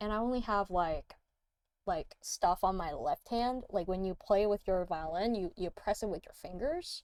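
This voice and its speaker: Speaking with a non-native accent, a woman keeps a medium pitch and a moderate pace. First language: not English. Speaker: music producer streamer. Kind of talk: casual livestream chat. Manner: halting, many fillers and restarts.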